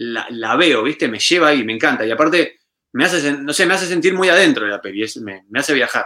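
Very fast and fairly high for a man, this voice has a bright, sharp tone. His intonation is lively. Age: 30s. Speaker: musician and retro YouTuber. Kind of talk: casual chat.

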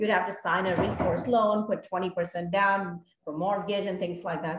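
A somewhat breathy woman at a moderate pace, fairly even in intonation, with hardly any pauses. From India. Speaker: apartment investor, former engineer. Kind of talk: interview.

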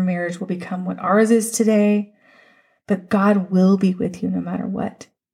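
A woman with a somewhat breathy voice speaks at a medium pitch and a moderate pace with fairly even intonation. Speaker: podcast host. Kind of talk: fervent prayer, spoken aloud to God, raw and pleading; devotional podcast monologue. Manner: earnest, emotional, pleading, heartfelt.

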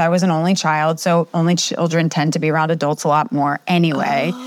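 A woman speaks with an American accent in an ordinary speaking voice. Her pitch is fairly low and her pace moderate. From US East Coast. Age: 40s. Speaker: communication coach and professor. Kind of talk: interview.

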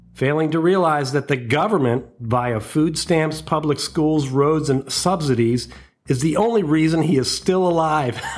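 Speaking at a moderate pace, a man with a fairly high pitch uses an animated tone and ordinary pitch variation. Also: very even loudness. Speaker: comedy podcast host. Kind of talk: stand-up style comedy riff. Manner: sarcastic, rant-like, animated; laughs at own jokes, loose and conversational.

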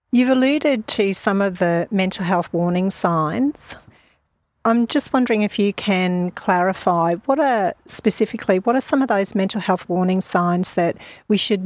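A woman with an Australian accent speaks at a moderate pace and medium pitch on a very clean recording with a silent background. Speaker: mental health social worker and podcast host. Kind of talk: interview. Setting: outdoors in a park.

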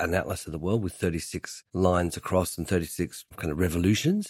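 A man speaks with an Australian accent at a very deep, low pitch. The sound is dry and close with no echo. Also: very clean recording, silent background. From Tasmania, Australia (Hobart). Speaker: furniture designer. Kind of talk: interview.

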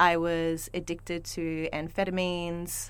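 The speaker is a woman. Her pitch sits fairly low. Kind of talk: casual chat, podcast conversation. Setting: yurt in a backyard.

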